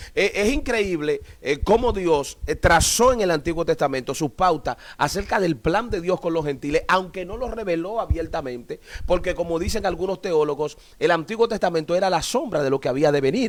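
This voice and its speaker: The man's voice is high-pitched and has lively intonation. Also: moderate pace. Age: 40s. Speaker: pastor. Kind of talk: live stream Bible teaching dialogue.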